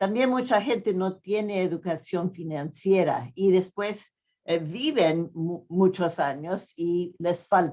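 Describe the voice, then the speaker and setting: Medium-pitched speech from a woman with a non-native accent, a dark, mellow tone, ordinary pitch variation and a fairly slow pace. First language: not Spanish (speaking Spanish). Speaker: pension economist speaker. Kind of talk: conference talk. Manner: halting, many fillers.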